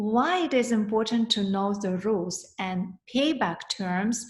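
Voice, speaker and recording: A woman with a Russian accent, fairly high-pitched and somewhat breathy. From former Soviet Union (Russia). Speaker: financial coach, accountant. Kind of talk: webinar presentation. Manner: halting, with fillers.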